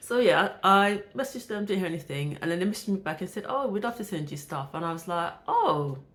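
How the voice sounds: With a fairly bright tone and lively intonation, a woman talks at a fairly quick pace and a fairly low pitch.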